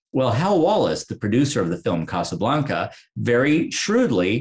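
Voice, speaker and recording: At a moderate pace, a man's somewhat breathy voice makes very wide pitch swings. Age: 50s. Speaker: author and documentary producer. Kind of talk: interview. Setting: video call.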